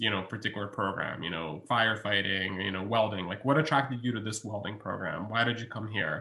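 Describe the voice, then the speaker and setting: Bright, sharp tone from a man's voice. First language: Russian. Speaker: college researcher. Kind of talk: webinar Q&A. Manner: hesitant, many fillers.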